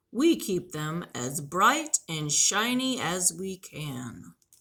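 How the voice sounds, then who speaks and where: Using a put-on character voice, a woman speaks at a very slow pace from a medium pitch, with very wide pitch swings. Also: big swings in loudness. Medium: read story. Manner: friendly, proud, explaining.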